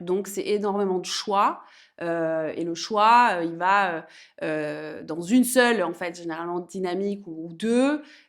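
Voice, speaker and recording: A woman speaks very slowly at a medium pitch with ordinary pitch variation. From France, Auvergne. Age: 30s. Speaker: entrepreneur, women's empowerment program founder. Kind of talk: interview, casual chat. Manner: animated.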